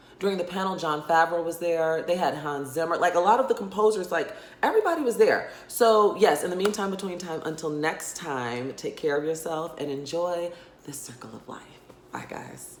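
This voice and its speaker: In a room with audible echo and noticeable background noise, a woman speaks in a fairly low voice with ordinary pitch variation. Her tone is animated, with big swings in loudness. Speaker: YouTuber reviewing films. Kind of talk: casual vlog review. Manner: fast.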